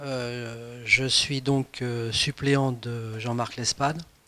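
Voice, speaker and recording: A man's medium-pitched, monotone voice with flat intonation, against noticeable background noise. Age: 60s. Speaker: political candidate, retired civil servant. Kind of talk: interview self-presentation. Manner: halting, many hesitations.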